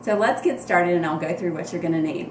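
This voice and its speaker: A woman with a Southern US accent and a fairly low pitch, in audible room echo with noticeable background noise. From US South. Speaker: cooking vlogger. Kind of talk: cooking tutorial. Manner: casual, hesitant with frequent ums.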